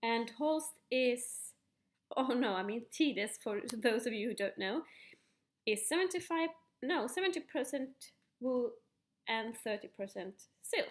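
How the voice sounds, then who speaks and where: A woman with a Finland-Swedish accent, high pitch and lively intonation, speaking at a fairly slow pace with long, frequent pauses and big swings in loudness. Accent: Finnish Swedish-speaking accent in English. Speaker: knitting podcaster. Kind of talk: casual show-and-tell. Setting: at home kitchen table. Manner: halting with fillers.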